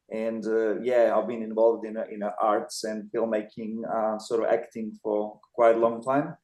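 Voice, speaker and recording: Speaking in a non-native accent, the voice stays monotone and flat with hardly any pauses. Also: man, medium pitch for a man, moderate pace. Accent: noticeable foreign. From Montenegro. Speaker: filmmaker. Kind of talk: interview. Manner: halting.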